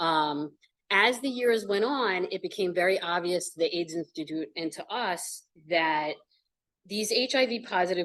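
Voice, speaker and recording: Pitch varies in an ordinary way here. The pace is moderate. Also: woman. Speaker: nonprofit executive director. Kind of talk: presentation. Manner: loud; conversational.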